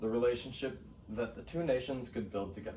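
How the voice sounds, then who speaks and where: Audible room echo fills the space. A man's voice is heard. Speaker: student. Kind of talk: class presentation. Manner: halting, many fillers.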